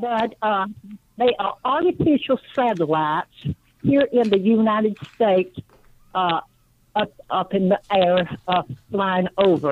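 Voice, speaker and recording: Her pitch medium and her intonation lively, a woman speaks at a fairly slow pace with long, frequent pauses. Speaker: caller. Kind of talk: call-in talk radio. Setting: phone call. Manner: halting.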